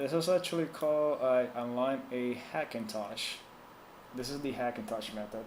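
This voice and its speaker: At a moderate pace, a man with a Spanish accent speaks at a medium pitch with ordinary pitch variation. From Puerto Rico. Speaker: tech support streamer. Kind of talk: live stream tech support chat. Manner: casual, hesitant with fillers.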